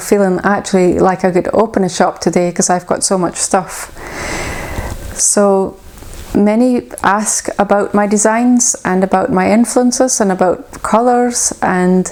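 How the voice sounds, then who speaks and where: Speaking at a fairly slow pace with a Shetland accent, a woman keeps her loudness very even while background noise is noticeable. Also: medium pitch for a woman, ordinary pitch variation. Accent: Shetland Scottish. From Shetland, Scotland. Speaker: knitwear designer. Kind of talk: casual talk to camera.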